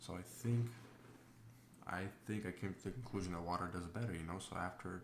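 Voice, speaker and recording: A soft-spoken man with a very deep, low pitch, a moderate pace and audible room echo. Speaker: diesel truck mechanic. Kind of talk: tutorial narration. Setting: home, voiceover recorded with child asleep. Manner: soft-spoken, talking quietly; hesitant, many fillers. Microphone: may not pick up quiet voice.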